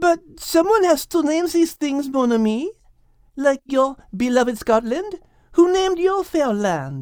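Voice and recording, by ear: Putting on a character voice, a man talks slowly at an extremely high pitch, with big pitch swings and a slightly mellow tone.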